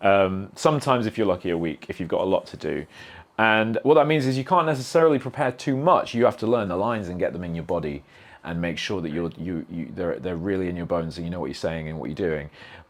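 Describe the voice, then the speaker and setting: Over a quiet background, a man with a very deep, low pitch speaks at a very fast pace with very wide pitch swings. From northern England, Sheffield (Yorkshire). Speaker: video game actor. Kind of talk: podcast interview. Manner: halting, many false starts and fillers.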